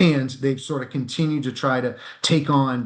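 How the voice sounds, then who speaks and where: A man's voice at medium pitch, with fairly even intonation. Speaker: executive recruiter. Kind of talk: interview. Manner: fast.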